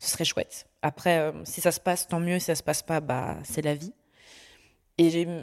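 On a very clean recording with a silent background, a woman speaks at a fairly low pitch in a dark, mellow tone with fairly even intonation. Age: young. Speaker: adoptee sharing her story. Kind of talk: personal testimony in conversation.

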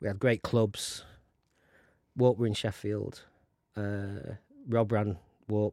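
A man with a South Yorkshire accent speaks at a very slow pace, leaving long, frequent pauses. His fairly low voice has a dark, mellow tone and fairly even intonation. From South Yorkshire (Conisbrough, mining town). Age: 50s. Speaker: film producer. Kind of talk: interview. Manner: halting, many restarts.

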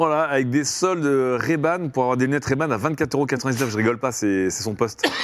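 Noticeable background noise runs through the clip. The man's pitch varies in an ordinary way. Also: medium pitch for a man, moderate pace, hardly any pauses. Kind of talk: casual chat, improvised role-play game.

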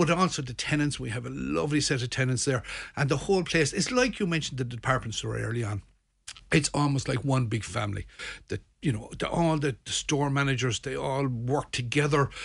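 A somewhat breathy male voice of medium pitch at a fairly quick pace, with ordinary pitch variation. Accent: Limerick. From Ireland, Midlands then Limerick. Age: 60s. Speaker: shopping centre manager. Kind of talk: radio interview. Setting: radio studio.

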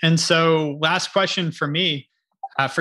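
A man is speaking. His tone is bright and sharp. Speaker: podcast host. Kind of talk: casual interview.

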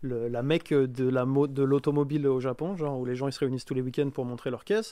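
Over a quiet background, a man with a dark, mellow tone speaks at medium pitch and a fairly quick pace with ordinary pitch variation. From France. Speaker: game designer. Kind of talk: casual chat.

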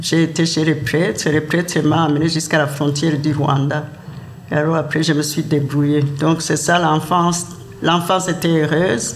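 A man with a fairly high voice speaks in a fairly even tone, with noticeable background noise and audible room echo. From Burundi, Kayanza province. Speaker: immigrant elder. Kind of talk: testimony.

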